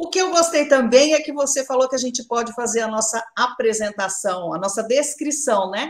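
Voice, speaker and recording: The woman's voice is high-pitched. Her intonation is lively. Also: moderate pace, hardly any pauses. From Brazil, São Paulo state (São Carlos). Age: 50s. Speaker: journalist. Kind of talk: live interview. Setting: at home in her kitchen.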